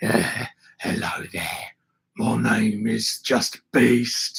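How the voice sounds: A man uses a put-on character voice, raspy and menacing in tone. He speaks very slowly.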